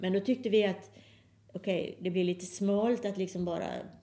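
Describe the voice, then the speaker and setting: The woman's tone is dark and mellow. She keeps her intonation fairly even. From Sweden, Halmstad. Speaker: pianist and electronic musician. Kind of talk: casual interview.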